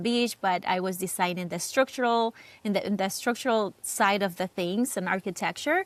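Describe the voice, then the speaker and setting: Heard in a very clean recording with a silent background, a woman with a Cuban accent speaks at medium pitch with ordinary pitch variation. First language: Spanish. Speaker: real estate agent. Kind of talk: interview. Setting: podcast.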